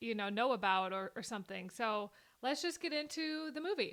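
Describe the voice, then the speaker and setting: With a Minnesota accent, a woman speaks at a moderate pace in a bright, sharp tone, her high pitch moving in very wide swings, in a very clean recording with a silent background. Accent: mild Minnesota. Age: 20s. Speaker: YouTuber reacting to a film. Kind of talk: casual reaction commentary. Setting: recorded on camera.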